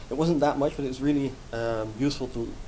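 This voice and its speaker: Very fast speech from a man with a Dutch accent and medium pitch. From Netherlands. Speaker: software developer. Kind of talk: conference talk. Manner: hesitant, many fillers.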